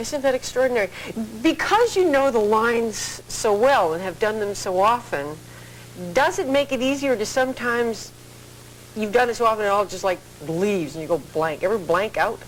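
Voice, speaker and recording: The speaker's pitch swings very widely at a moderate pace, over noticeable background noise. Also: woman, fairly high pitch for a woman. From southern England. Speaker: talk show host. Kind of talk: talk show interview. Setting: TV studio.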